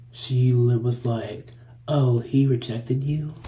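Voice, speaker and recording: Over noticeable background noise, a man speaks very slowly at a medium pitch in a flat monotone. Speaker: podcast co-host. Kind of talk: casual chat.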